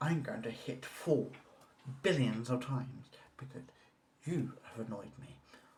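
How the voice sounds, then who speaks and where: A man whispering, somewhat breathy, with audible room echo. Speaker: vlogger. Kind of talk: casual vlog rant. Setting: at home on balcony.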